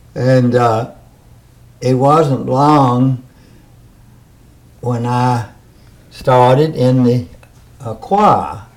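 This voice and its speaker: Speaking in a Mississippi accent at a very slow pace, with long, frequent pauses and ordinary pitch variation. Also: man, medium pitch for a man. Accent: US Southern, Mississippi. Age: 80s+. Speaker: interviewee. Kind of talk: oral history interview.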